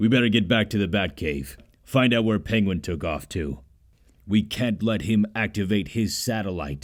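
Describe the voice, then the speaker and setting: A man puts on a character voice with lively intonation, fairly low pitch and a moderate pace. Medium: machinima. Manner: serious, terse.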